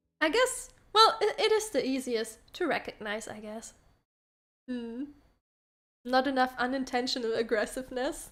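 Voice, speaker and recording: A woman speaks at a moderate pace in a high voice, with very wide pitch swings, big swings in loudness, and long, frequent pauses. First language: Spanish. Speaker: VTuber streamer. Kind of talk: casual livestream chat.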